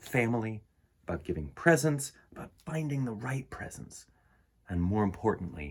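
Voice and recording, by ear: A man talks at a moderate pace in a fairly low pitch with a slightly husky edge. His pitch makes big swings.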